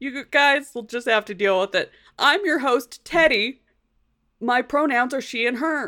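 Projecting a raised voice, a woman speaks fairly slowly with lively intonation, her high pitch bright and sharp on a very clean recording with a silent background. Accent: American. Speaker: podcast host. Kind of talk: casual chat.

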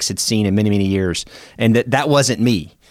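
A man with an unremarkable speaking voice and an American accent talks at medium pitch and a fairly quick pace, with ordinary pitch variation. The recording is very clean with a silent background, and the sound is dry and close with no echo. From US South, Memphis, Tennessee. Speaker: retired air force officer and leadership consultant. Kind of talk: interview conversation. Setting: studio.

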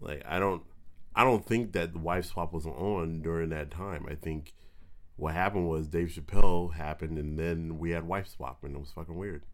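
With an American accent, a man speaks at a very deep, low pitch and a moderate pace. His intonation is fairly even, while his loudness swings widely. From Southern California (Pasadena). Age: 30s. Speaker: stand-up comedian. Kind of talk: casual chat. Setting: studio.

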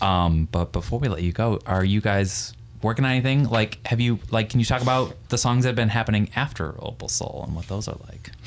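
A man speaks in a plain, everyday voice, fairly low in pitch, at a fairly quick pace with ordinary pitch variation. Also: hardly any pauses. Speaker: podcast host. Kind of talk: casual interview chat. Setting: living room recording space.

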